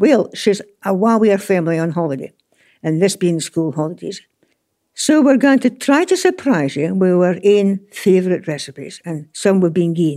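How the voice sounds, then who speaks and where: In a very clean recording with a silent background, a woman with a Scottish accent speaks at a medium pitch and a moderate pace, her dark, mellow tone carrying lively intonation. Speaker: gardening radio host. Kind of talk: casual chat.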